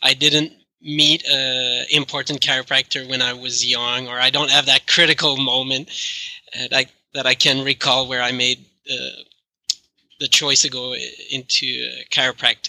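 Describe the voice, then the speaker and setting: A man with a French Canadian accent, medium-pitched and monotone with flat intonation, at a moderate pace broken by long, frequent pauses, in a dry, close sound with no echo. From Quebec. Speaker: chiropractic researcher and professor. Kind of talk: interview answers.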